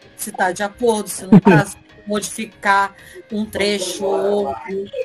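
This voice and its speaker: Over music in the background, a woman speaks at a medium pitch and a fairly slow pace. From Rio de Janeiro, Brazil. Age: 40s. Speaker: writer and Portuguese teacher. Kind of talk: interview answer.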